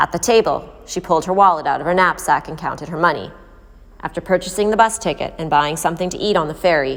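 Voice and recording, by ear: A natural voice reading aloud, with ordinary variation in pitch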